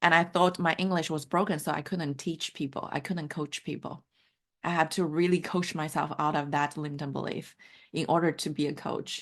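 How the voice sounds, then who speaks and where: A woman with a Mandarin accent speaks in a very deep, low pitch at a moderate pace, with monotone, flat intonation against a quiet background. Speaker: life coach. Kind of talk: online workshop session.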